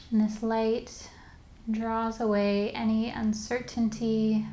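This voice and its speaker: A woman speaks very slowly at a fairly high pitch, her somewhat breathy voice dark, mellow, soothing and calm. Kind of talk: guided meditation. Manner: slow, soothing, calm and gently paced with long pauses; soft-spoken, instructive.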